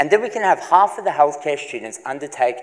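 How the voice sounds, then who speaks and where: Against a quiet background, a man talks at a very fast pace with lively intonation. His pitch is fairly high. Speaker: PhD candidate; candidate. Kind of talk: three-minute research presentation. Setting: stage with audience. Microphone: lapel.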